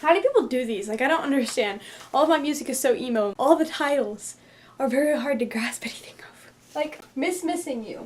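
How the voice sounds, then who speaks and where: A woman's high-pitched voice comes through noticeable background noise. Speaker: book reviewer. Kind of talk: casual talk to camera.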